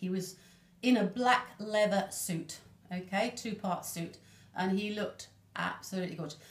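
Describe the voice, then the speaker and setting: A woman speaks at a moderate pace and a medium pitch. Her voice is somewhat breathy. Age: 60s. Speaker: Elvis fan and enthusiast. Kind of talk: casual interview chat.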